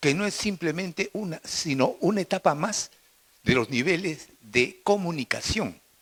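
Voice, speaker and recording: High male voice at a fairly slow pace, with a dry, close sound and no echo. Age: 70s. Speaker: physician, audience questioner. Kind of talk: audience question at conference.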